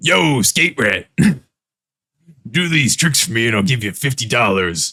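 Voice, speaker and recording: Using a put-on character voice, a man talks at a moderate pace with a raspy, medium-pitched sound. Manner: demanding, pushy.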